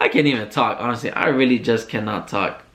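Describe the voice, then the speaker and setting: Fairly even intonation and a medium pitch shape this man's speech, given in a plain, everyday voice. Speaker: podcast host. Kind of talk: casual monologue rant.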